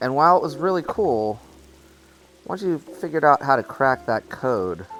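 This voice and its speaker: With music in the background, a man with a fairly high pitch speaks with very wide pitch swings. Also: moderate pace. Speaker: VR gaming YouTuber. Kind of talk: gameplay commentary. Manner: casual, with frequent fillers.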